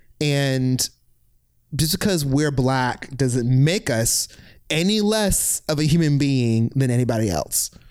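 A man with an American accent speaks at a very slow pace in a fairly high pitch, with lively intonation and very even loudness. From Virginia Beach, Virginia. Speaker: former university staff director. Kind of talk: casual chat.

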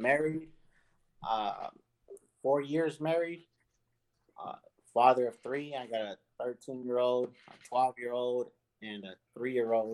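A man's slow speech, broken by long, frequent pauses. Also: medium pitch for a man, ordinary pitch variation, slightly mellow tone.

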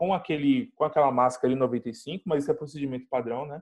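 A man at a fairly high pitch talks with ordinary pitch variation in a dry, close sound with no echo. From Brazil, São Paulo (Grajaú). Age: 20s. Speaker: biomedical scientist, Covid-19 survivor. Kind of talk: interview, personal testimony. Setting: video call. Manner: halting, many fillers.

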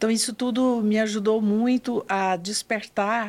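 On a very clean recording with a silent background, a woman with a medium-pitched voice speaks very slowly. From northern Goiás, Brazil, rural. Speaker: psychologist and hospital volunteer. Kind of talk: interview storytelling. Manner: formal.

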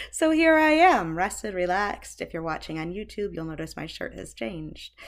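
On a very clean recording with a silent background, a woman speaks at a fairly quick pace with very wide pitch swings. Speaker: childbirth educator and doula. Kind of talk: guided meditation. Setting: home recording, webcam.

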